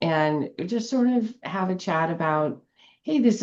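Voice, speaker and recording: With music in the background, a woman speaks using lively intonation. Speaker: spiritual podcast host. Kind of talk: casual chat.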